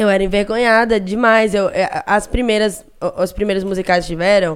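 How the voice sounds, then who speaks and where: The woman talks at a moderate pace and a medium pitch. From Recife, Brazil. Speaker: internet personality. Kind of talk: casual chat. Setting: studio. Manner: animated.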